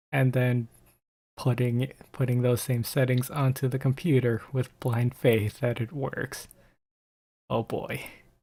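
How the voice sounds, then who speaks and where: Very clean, with a silent background, this recording carries a man's somewhat breathy, dark, mellow voice. He speaks at medium pitch in a monotone, flat intonation. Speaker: gaming youtuber. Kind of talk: casual monologue. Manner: halting.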